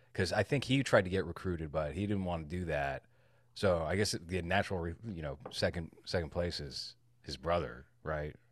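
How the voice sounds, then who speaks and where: A man with a very deep, low pitch and vocal fry is heard on a very clean recording with a silent background. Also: ordinary pitch variation, moderate pace. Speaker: podcast co-host. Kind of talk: casual chat.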